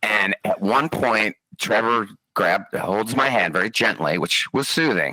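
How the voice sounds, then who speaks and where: A man speaks fairly slowly at medium pitch with lively intonation and very even loudness. The sound is dry and close with no echo. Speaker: podcast host, former fighter pilot. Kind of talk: casual storytelling interview. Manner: animated.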